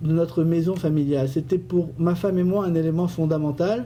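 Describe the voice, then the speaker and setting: A man speaks fairly slowly in a high voice. His tone is dark and mellow. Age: 50s. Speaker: business owner and community election candidate. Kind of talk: radio interview. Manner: hesitant, with fillers and repetitions.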